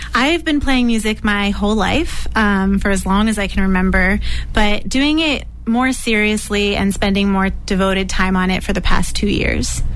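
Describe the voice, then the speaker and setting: A woman speaks at a moderate pace with very even loudness, over noticeable background noise. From New Hampshire. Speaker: singer-songwriter and special education teacher. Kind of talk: interview.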